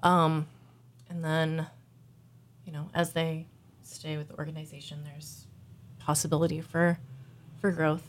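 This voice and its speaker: Flat, monotone delivery with an American accent, at a moderate pace, with long, frequent pauses and big swings in loudness. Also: woman, very deep, low pitch for a woman. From Missouri, US Midwest. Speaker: bike shop worker. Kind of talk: casual chat. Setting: studio. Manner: halting.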